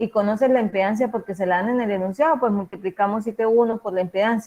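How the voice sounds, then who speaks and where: Talking at a very fast pace, a woman has a fairly high pitch and a dark, mellow tone. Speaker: university lecturer in electrical engineering. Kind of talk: lecture. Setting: video call.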